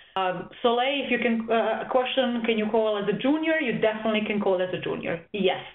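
Noticeable background noise accompanies fairly quick speech with ordinary pitch variation. There are hardly any pauses. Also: woman, fairly high pitch for a woman. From Serbia. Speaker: volleyball coach. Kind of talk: webinar presentation. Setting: online session, audience muted. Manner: hesitant, many fillers.

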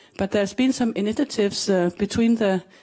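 Over a quiet background, a woman with a Danish accent speaks fairly quickly in a dark, mellow, somewhat breathy tone with fairly even intonation. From Denmark. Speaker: glaciologist, research scientist; guest. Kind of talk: panel talk. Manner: halting. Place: stage. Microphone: handheld.

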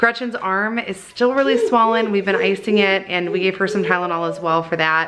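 Over noticeable background noise, a woman talks at a fairly quick pace. Her medium pitch shows ordinary variation. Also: hardly any pauses. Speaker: family vlogger. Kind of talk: casual chat. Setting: parking lot of the ER.

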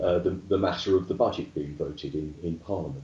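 A fairly quick pace with audible room echo. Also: man. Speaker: guest. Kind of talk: interview answer. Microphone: video call.

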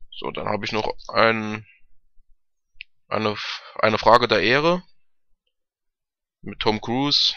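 At a slow pace, the voice sounds bright and sharp yet clear and smooth, with fairly even intonation. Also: man.

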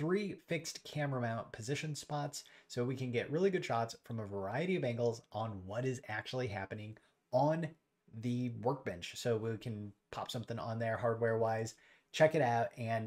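A man speaks at a moderate speed, his pitch varying in an ordinary way, with little sound behind him. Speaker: homelab youtuber. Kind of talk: tutorial explanation. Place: home room.

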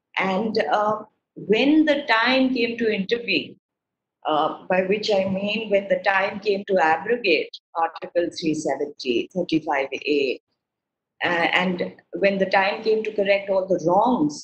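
Amid light background noise and audible room echo, a woman talks at a fairly slow pace with lively intonation. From India. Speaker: research advisor. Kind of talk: webinar talk. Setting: video call. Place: home room. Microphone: video call.

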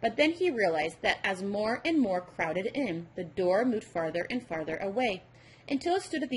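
The words are read out plainly. It is plain reading aloud and nothing more.

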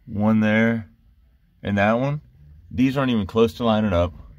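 A man speaks at a moderate pace with a fairly low pitch, the sound dry and free of echo. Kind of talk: casual tutorial narration. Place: car. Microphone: phone near.

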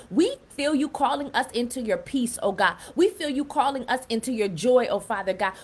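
A woman with a high pitch, lively intonation and hardly any pauses. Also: moderate pace. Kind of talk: fervent prayer. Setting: live stream on Clubhouse and Facebook. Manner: impassioned, rhythmic; repetitive, pleading. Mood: earnest, devout. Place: home room. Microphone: phone near.

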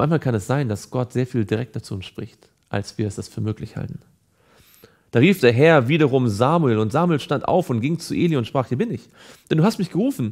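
With lively intonation and a fairly quick tempo, a man talks against quiet surroundings. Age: 30s. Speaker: evangelist. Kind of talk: Bible teaching / devotional. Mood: calm, earnest. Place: studio.

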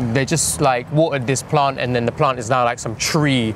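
Over light background noise, a man talks at a fairly quick pace with ordinary pitch variation, the sound dry with no echo. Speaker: interviewee. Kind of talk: interview answer. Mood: relaxed, reflective. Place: street. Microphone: lapel.

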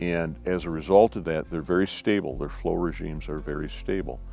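A man talks at a moderate pace in a very deep, low pitch. The sound is dry with no echo, and faint music plays in the background. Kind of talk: interview answer. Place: forest. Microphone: lapel.

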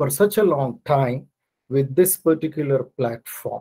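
Over a quiet background, a man talks in a somewhat breathy voice with ordinary pitch variation. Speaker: guest lecturer. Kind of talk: lecture. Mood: grateful, calm. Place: home room.

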